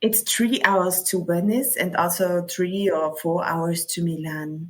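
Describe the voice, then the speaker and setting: Speaking at a very slow pace, a woman uses a fairly low pitch. Her pitch variation is ordinary. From South Tyrol, Italy. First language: German. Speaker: local travel expert. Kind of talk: interview. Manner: halting.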